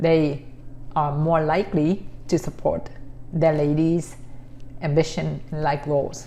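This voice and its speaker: A woman speaks very slowly with long, frequent pauses, her pitch very deep and low. Her tone is dark and mellow, with vocal fry and monotone, flat intonation. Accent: Vietnamese. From Vietnam. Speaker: vlogger. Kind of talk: casual talk to camera. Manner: halting.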